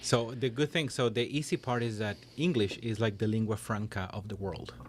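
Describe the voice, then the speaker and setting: A man talks at medium pitch with ordinary pitch variation while noticeable background noise plays behind him. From Chile. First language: Spanish. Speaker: interview guest. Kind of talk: interview conversation. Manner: hesitant, many fillers.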